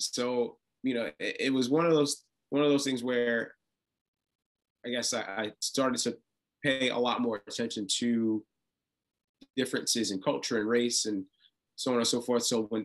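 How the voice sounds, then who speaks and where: This man speaks at a moderate pace and a medium pitch. His speech has long, frequent pauses. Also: fairly even intonation. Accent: New York. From Brooklyn, New York. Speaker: reality TV contestant. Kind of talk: interview. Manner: halting, many repetitions and fillers.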